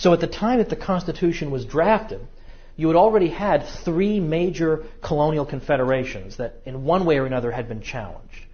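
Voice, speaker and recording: Audible room echo surrounds a man who speaks at a fairly quick pace with lively intonation and a fairly high pitch. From New England. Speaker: history lecturer. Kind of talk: lecture. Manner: fast.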